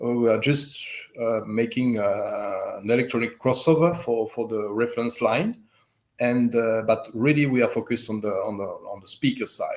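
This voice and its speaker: A man speaks with a slight French accent. The recording is very clean, with a silent background. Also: moderate pace. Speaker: speaker manufacturer representative. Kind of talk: interview. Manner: halting, many fillers.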